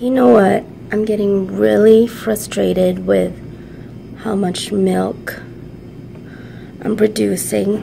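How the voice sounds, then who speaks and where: A woman speaks at a very slow pace with long, frequent pauses. Room echo is audible. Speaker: vlogger, working mom. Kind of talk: casual vlog venting. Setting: outdoors at park and ride.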